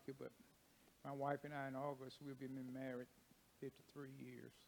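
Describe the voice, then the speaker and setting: A man talks with a Kentucky accent and a monotone, flat intonation. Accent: Kentucky, US South. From Kentucky (Paducah). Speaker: church deacon and ministry speaker. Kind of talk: testimony. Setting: church.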